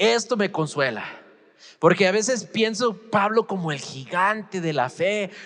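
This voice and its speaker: A man speaks at a fairly slow pace in a high voice, with lively intonation and an animated tone. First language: English (speaking Spanish). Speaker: pastor. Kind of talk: sermon. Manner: halting.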